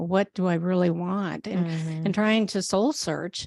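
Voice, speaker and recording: Here a woman talks in a plain, everyday voice at medium pitch. Her pace is fairly slow. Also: very clean recording, silent background. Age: 60s. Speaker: herbalist. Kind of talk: interview answer.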